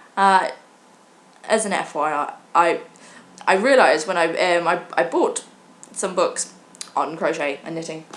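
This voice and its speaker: With a British accent, a woman speaks at a fairly slow pace with long, frequent pauses, her fairly low pitch showing ordinary variation over noticeable background noise. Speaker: vlogger. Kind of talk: casual chat. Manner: halting.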